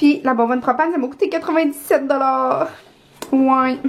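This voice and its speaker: Over noticeable background noise, a woman with a Quebec accent speaks at a high pitch with fairly even intonation. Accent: Québécois French. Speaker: vlogger. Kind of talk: casual vlog talk to camera. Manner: fast.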